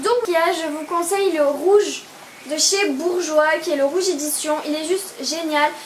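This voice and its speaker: At a fairly slow pace, a woman speaks in an extremely high pitch with fairly even intonation, amid audible room echo and noticeable background noise. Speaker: beauty vlogger. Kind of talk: product review vlog. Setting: indoors, home video. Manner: hesitant, many fillers.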